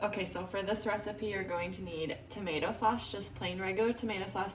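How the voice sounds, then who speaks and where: Talking at a fairly quick pace, a woman uses medium pitch and ordinary pitch variation. Noticeable background noise is present. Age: 20s. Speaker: stay-at-home mother. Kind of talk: casual cooking tutorial to camera.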